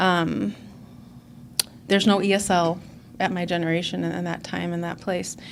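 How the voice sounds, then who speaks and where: There is audible room echo as a woman talks. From Illinois suburbs, Mexican-American family. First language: Spanish. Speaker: recovery meeting speaker. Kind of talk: personal testimony talk. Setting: conference stage with audience. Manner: hesitant with frequent fillers.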